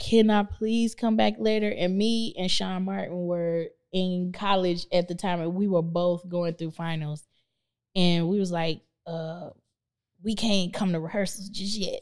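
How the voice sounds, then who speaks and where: A woman with an ordinary speaking voice and a fairly low pitch talks at a fairly slow pace with ordinary pitch variation. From Tulsa, Oklahoma. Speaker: artist manager, former singer. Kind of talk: casual interview. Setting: studio, on a couch.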